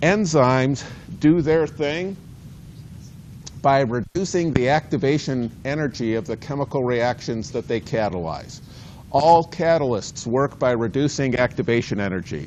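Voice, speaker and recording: Using lively intonation, a man with an unremarkable speaking voice talks at a moderate pace and medium pitch. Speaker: university biology lecturer. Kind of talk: lecture. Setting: lecture hall with students. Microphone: cordless mic battery ran out, no mic.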